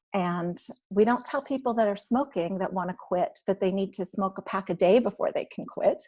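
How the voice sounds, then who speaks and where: At a moderate pace, a woman with a medium pitch and a somewhat breathy voice speaks with ordinary pitch variation. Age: 50s. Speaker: recovery blogger and author. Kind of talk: testimony. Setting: live-streamed online podcast panel.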